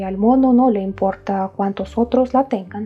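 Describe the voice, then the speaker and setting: With music in the background, a woman with a fairly high voice speaks at a moderate pace and ordinary pitch variation. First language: not Spanish (speaking Spanish). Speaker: YouTube history presenter. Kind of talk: documentary narration to camera.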